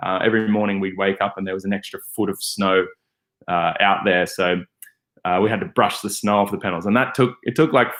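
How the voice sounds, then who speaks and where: With an Australian accent, a man talks at a fairly quick pace and with fairly even intonation. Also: fairly low pitch for a man. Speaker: van life vlogger. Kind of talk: casual livestream Q&A. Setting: livestream. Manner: hesitant, many fillers and repeats.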